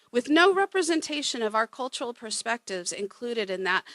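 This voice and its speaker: A woman's fairly high voice moves in very wide pitch swings. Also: dry, close sound with no echo. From Oklahoma. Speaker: museum curator. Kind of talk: panel presentation.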